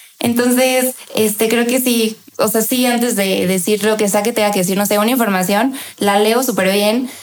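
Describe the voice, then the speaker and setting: This woman has a fairly high pitch and talks at a moderate pace with fairly even intonation. Her loudness stays very even over noticeable background noise. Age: 20s. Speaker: chef and food influencer. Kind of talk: interview.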